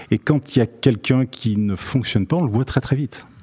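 A dark, mellow, somewhat breathy voice moves at a moderate pace with lively intonation in a dry, close sound with no echo. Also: man. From Lyon, France. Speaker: company chairman. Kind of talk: interview. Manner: hesitant, repeats words.

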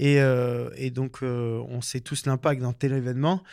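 A man speaks in a very clean recording where the background is silent. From French Alps (Hautes-Alpes, Embrun). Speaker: professional skier and filmmaker. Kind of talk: interview. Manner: hesitant, many fillers.

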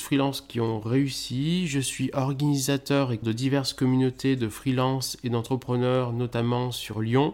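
An ordinary speaking voice at a fairly slow pace, with hardly any pauses. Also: man. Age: 30s. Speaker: podcast host, freelance SEO consultant. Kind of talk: solo podcast introduction.

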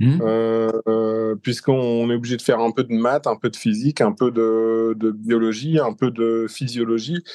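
Against a quiet background, a man with a dark, mellow tone and medium pitch speaks at a fairly slow pace with hardly any pauses. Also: fairly even intonation, dry, close sound with no echo. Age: 50s. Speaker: business manager and deep diver. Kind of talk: interview. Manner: hesitant.

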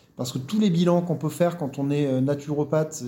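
Somewhat breathy and dark, mellow in tone, this voice moves at a moderate pace with fairly even intonation. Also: man. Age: 40s. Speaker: naturopath. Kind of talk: interview.

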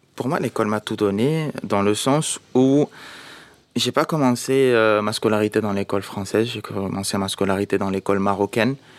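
This man talks at a moderate pace with a fairly low pitch and ordinary pitch variation, in a dry, close sound with no echo. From Morocco. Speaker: schoolteacher and author. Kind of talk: interview. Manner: hesitant, many fillers.

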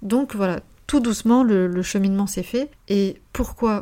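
A woman speaks at a fairly slow pace in a medium pitch. Her tone is dark and mellow, with fairly even intonation. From Paris region (Seine-Saint-Denis), France. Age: 20s. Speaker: life coach. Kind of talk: personal testimony monologue. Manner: unscripted, hesitant with repetitions.

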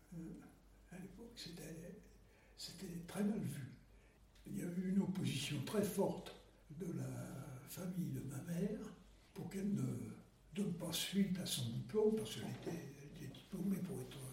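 A man with a high pitch and ordinary pitch variation talks at a fairly slow pace, leaving long, frequent pauses, with audible room echo. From Paris, France. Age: 90s. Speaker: war veteran. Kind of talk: testimony. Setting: at home. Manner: halting.

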